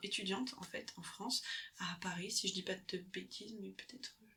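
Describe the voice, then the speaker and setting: Her pitch is medium. This woman sounds somewhat breathy. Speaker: ASMR creator and book lover. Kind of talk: book recommendation, summarising a memoir's story in casual talk. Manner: soft-spoken, hesitant, self-correcting.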